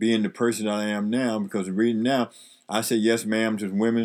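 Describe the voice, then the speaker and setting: In a very clean recording with a silent background, a man with an American accent speaks at a moderate pace in a fairly low pitch. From US Northeast (Harlem, New York). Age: 70s. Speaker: retired veteran, host's father. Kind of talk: casual interview, life stories. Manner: halting, with fillers and repetitions.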